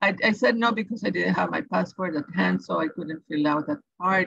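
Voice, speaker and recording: Speaking with a Salvadoran accent, a woman with a medium pitch shows vocal fry. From El Salvador. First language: Spanish. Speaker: education advisor. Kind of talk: tutorial. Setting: webinar.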